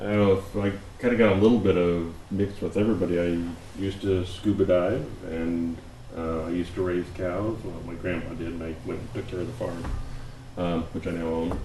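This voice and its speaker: A man speaks at a fairly quick pace in a very deep, low pitch with fairly even intonation. Noticeable background noise and audible room echo fill the recording. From US Pacific Northwest, Oregon City. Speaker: planning commissioner. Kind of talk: casual introductions at work session. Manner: halting, many fillers.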